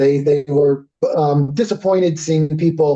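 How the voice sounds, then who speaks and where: A man speaks with a Connecticut accent. His pitch is fairly high. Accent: US Northeast (Connecticut). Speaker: company representative presenting a service. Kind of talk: business presentation with Q&A. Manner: fast.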